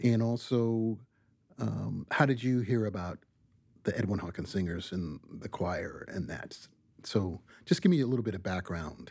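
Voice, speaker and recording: In a very clean recording with a silent background, a man with fairly low pitch talks at a moderate pace with ordinary pitch variation. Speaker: podcast host. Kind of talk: interview. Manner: hesitant, uses fillers.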